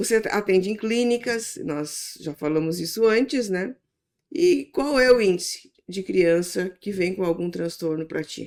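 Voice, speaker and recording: A woman speaks at a fairly slow pace, in a normal speaking voice at medium pitch. Her intonation is lively. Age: 60s. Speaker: church podcast host. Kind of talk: interview.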